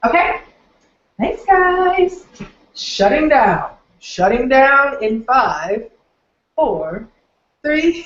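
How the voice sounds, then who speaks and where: With an American accent and a high pitch, a woman speaks at a very slow pace, with long, frequent pauses and very wide pitch swings. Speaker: online marketing trainer. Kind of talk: live webinar training. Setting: live stream from home office. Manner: animated.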